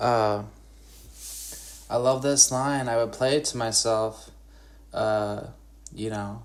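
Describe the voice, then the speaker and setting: Long, frequent pauses mark this man's very slow delivery. He has an Upper Midwest US accent and fairly even intonation. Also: medium pitch for a man. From Wisconsin, Northwoods. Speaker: podcaster and guitarist. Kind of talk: solo monologue podcast. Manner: halting, many fillers.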